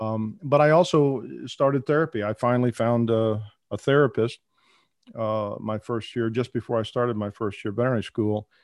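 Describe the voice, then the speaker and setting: Over a quiet background, a man in a plain, everyday voice speaks at a fairly quick pace and medium pitch with fairly even intonation, the sound dry and close with no echo. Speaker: veterinarian who stutters, advocate. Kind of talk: casual interview conversation. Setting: remote call.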